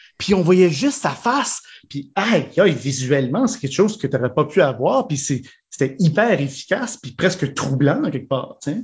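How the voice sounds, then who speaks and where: Very wide pitch swings mark this man's fairly high voice. He talks at a moderate pace. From Manitoba, Saint-Boniface. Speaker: improv actor. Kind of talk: casual interview.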